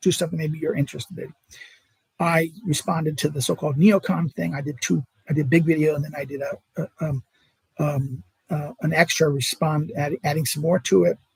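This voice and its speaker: A man speaks at a fairly quick pace and a fairly high pitch with vocal fry, the sound dry and close with no echo. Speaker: political philosophy academic and video creator. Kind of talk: live stream monologue. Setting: home at mother-in-law's. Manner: stutter; halting.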